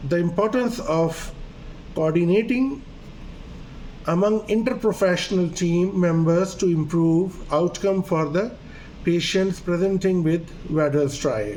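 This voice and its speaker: Through audible room echo, a high-pitched man with a Pakistani accent speaks fairly slowly with ordinary pitch variation and long, frequent pauses. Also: very even loudness. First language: Urdu. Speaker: doctor. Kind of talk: lecture.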